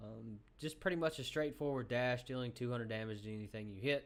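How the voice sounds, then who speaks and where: The speaker has a Southern US accent. Pitch variation is ordinary. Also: man. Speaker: gaming youtuber. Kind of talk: game tutorial. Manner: casual, many filler ums.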